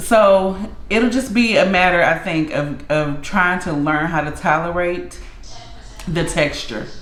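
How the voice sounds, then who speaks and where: Over noticeable background noise and audible room echo, a woman with a fairly low pitch talks at a fairly slow pace, leaving long, frequent pauses, her pitch varying in an ordinary way. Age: 30s. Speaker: food vlogger. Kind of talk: casual chat. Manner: halting.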